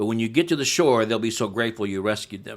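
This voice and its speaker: A man with a plain, everyday voice speaks at a fairly quick pace, medium in pitch with ordinary pitch variation, on a very clean recording with a silent background. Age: 60s. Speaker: pastor and church replanter. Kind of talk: podcast interview.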